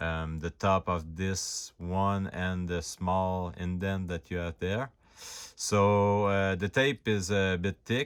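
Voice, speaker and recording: A man's very deep, low pitch at a very slow pace, in a very clean recording with a silent background. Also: fairly even intonation. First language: not English. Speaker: hobbyist prop reviewer. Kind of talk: tutorial. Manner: stutter; halting, many fillers.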